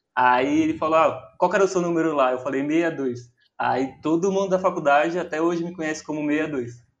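In a plain, everyday voice, a man talks at a moderate pace with hardly any pauses, his pitch fairly high and its variation ordinary. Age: 20s. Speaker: DJ and music producer, university student. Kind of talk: casual chat.

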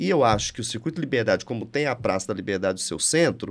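A man is speaking. His intonation is lively. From Brazil, Minas Gerais (Triângulo Mineiro). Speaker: state culture and tourism official, architect. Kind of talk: interview conversation. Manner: animated.

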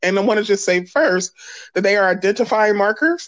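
A woman's unremarkable speaking voice in an American accent, medium in pitch and fairly quick in pace. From US Northeast, Philadelphia. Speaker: pastor and justice activist. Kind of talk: casual interview.

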